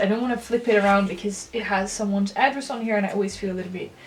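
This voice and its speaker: A woman speaks very fast at a medium pitch with a non-native accent. Her intonation stays fairly even over noticeable background noise. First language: not English. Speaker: stationery reviewer, YouTuber. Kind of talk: casual product review. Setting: home recording room with ring light. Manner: hesitant, with many fillers.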